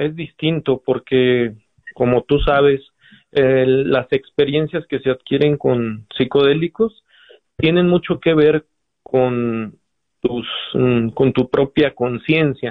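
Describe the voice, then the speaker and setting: At a very slow pace, a man talks in a fairly high pitch with ordinary pitch variation, very even loudness, and long, frequent pauses. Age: 30s. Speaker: physician. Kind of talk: interview.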